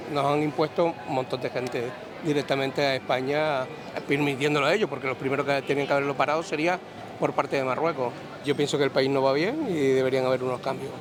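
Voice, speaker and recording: Against noticeable background noise, a man speaks very fast at a fairly high pitch with fairly even intonation. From Canary Islands. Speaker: passerby interviewed on the street. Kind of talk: street interview. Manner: halting, repeats words.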